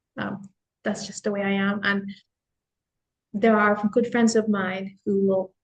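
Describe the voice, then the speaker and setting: Somewhat breathy and at a fairly slow pace, a woman speaks at medium pitch in a monotone, flat intonation, leaving long, frequent pauses. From Philippines. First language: Tagalog. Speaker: office worker. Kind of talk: casual chat.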